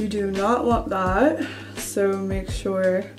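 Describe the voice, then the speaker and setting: Clear music plays in the background. Over it, a woman speaks with ordinary pitch variation. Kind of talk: casual vlog chat. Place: bathroom. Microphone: phone near.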